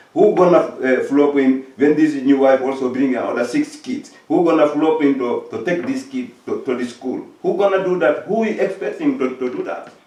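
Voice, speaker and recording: A man talks at a moderate pace with hardly any pauses. Noticeable background noise is present. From Africa. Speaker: talk show host. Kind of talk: discussion. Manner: halting, many repetitions.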